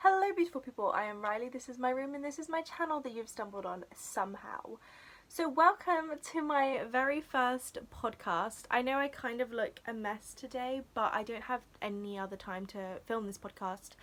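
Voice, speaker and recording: A woman's high-pitched voice with a British accent, lively intonation, and a moderate pace. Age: young, about 18. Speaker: crochet YouTuber. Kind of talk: casual vlog monologue. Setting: bedroom. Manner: chatty, many fillers.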